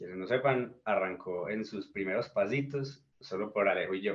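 A man talks fairly slowly, his medium-pitched voice rising and falling in a normal way. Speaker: indie musician. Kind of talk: interview.

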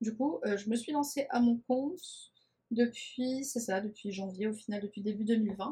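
With a dark, mellow tone, a woman speaks fairly slowly at a fairly high pitch and with lively intonation. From France, Nice. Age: 20s. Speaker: communication agency founder, podcast host. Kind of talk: casual podcast monologue. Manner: talkative.

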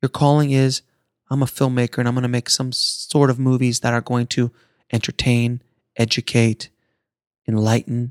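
The man's voice sits at a medium pitch, with monotone, flat intonation and a moderate pace. The sound is dry and close, with no echo. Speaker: podcast host. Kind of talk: pep talk. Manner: earnest, motivational, urgent; emphatic, driving, inspirational.

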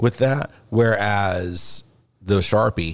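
Over a silent background, a man with an American accent speaks in a normal speaking voice, fairly low in pitch. His pitch variation is ordinary, and the recording is very clean. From US South. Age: 40s. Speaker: podcast host and martial arts practitioner. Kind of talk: casual chat.

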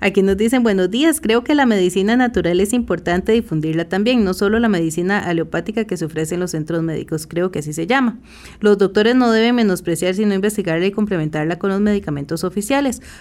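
A woman talks at a very fast pace with hardly any pauses. Her medium-pitched voice has lively intonation. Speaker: radio host. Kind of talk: radio health show hosting. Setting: radio studio.

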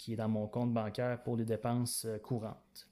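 A very slow voice in a Quebec accent, dark and mellow in tone, in a very clean recording with a silent background. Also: man. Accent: Québécois French. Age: 20s. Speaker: podcast host. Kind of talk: solo podcast monologue. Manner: halting, frequent fillers.

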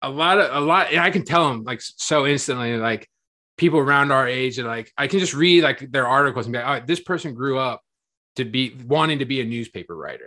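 A man speaks fairly quickly with an American accent and a medium pitch. His tone is bright and sharp. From Marion, Ohio (US Midwest). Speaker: podcast host and sports blogger. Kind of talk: casual chat.

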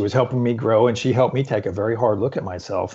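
Here a man talks. There is some breathiness to his delivery. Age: 50s. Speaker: fitness coach. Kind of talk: interview. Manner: halting.

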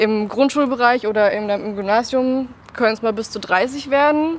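A woman's voice with ordinary pitch variation. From Baden-Württemberg (near Karlsruhe). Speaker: special education student. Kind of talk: interview.

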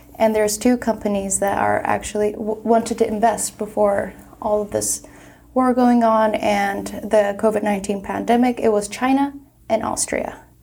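With a Turkish accent, a woman of fairly high pitch talks at a moderate pace with fairly even intonation. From Turkey, Istanbul. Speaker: graduate student, panelist. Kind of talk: panel discussion.

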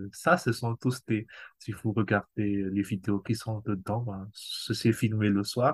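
Against a quiet background, a man with a medium pitch and a somewhat breathy voice speaks at a very slow pace. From Madagascar. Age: 40s. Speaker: amateur cellist. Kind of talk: casual interview.

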